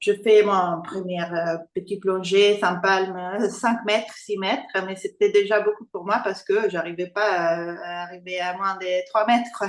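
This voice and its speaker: At a fairly slow pace, a woman with an Italian accent speaks with a medium pitch and ordinary pitch variation. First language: Italian (speaking French). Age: 40s. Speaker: freediver. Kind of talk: interview. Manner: halting.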